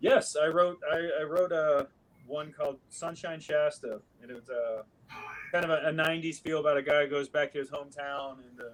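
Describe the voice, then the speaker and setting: A man with a West Coast US accent speaks fairly quickly in a fairly high voice with fairly even intonation, over noticeable background noise. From US Pacific Northwest, Seattle. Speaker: actor. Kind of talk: podcast interview.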